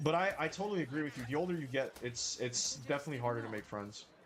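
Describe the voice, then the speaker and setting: Very rapid male speech with clearly audible background noise. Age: 20s. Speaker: gaming streamer. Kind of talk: casual chat with live stream viewers while gaming. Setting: live stream.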